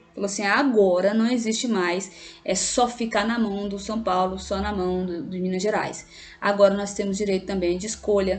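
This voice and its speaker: Music in the background and audible room echo behind a woman at medium pitch, with fairly even intonation and a moderate pace. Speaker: teacher. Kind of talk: lecture. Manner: halting.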